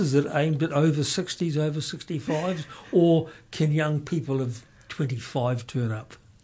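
Over a quiet background, a man with a New Zealand accent speaks at a moderate pace in a fairly high pitch, his tone dark and mellow, with ordinary pitch variation. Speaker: community radio host. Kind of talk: radio interview.

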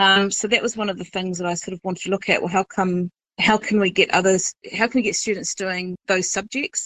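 The speaker talks at a fairly quick pace in a New Zealand accent, with hardly any pauses and a monotone, flat intonation. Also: woman, medium pitch for a woman. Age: 40s. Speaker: high school English teacher. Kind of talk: casual chat. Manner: hesitant, many fillers.

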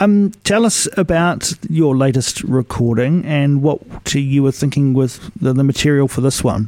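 Speaking with a New Zealand accent, a man with a fairly high pitch and a dark, mellow tone talks at a fairly slow pace with lively intonation and very even loudness. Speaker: radio host. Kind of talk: radio interview.

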